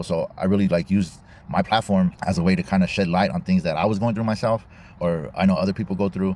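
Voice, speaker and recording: A man with an American accent talks very fast in a dark, mellow tone, his pitch very deep and low and his intonation fairly even. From California, Bakersfield. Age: 30s. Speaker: content creator and musician. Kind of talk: casual monologue. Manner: casual, slangy.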